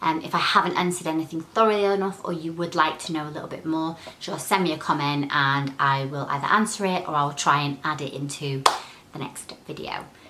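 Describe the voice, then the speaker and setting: A woman speaks at a fairly quick pace in a very deep, low pitch. Background noise is noticeable. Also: ordinary pitch variation. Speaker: crystal healing vlogger. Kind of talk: tutorial. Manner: fast.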